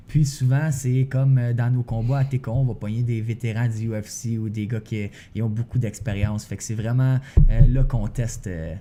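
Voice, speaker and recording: Somewhat breathy, a man with a Quebec accent speaks at a moderate pace and medium pitch in a dark, mellow tone with fairly even intonation. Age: 20s. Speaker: professional MMA fighter. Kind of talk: podcast interview. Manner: casual.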